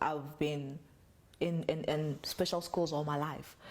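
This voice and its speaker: This woman's voice sits very deep and low in pitch. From South Africa, Soweto. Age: 20s. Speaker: model and content creator. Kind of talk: personal testimony interview.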